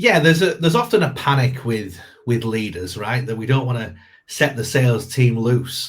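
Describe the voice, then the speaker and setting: Speaking with a northern English accent, a man uses a medium pitch and lively intonation. His voice is somewhat breathy, and his pace is moderate. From northern England. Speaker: sales coach. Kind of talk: podcast interview. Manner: hesitant with many repetitions.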